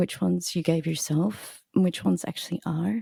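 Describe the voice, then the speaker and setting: Quiet and very fast, a woman with a fairly low pitch, dark, mellow tone, and ordinary pitch variation speaks in a dry, close sound with no echo. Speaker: cellist and composer. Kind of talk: casual chat. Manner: quiet speaker.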